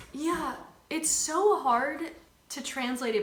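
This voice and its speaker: A woman speaks with lively intonation. Her voice carries audible room echo along with noticeable background noise. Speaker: YouTuber. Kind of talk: casual chat. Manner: talkative, filler-heavy.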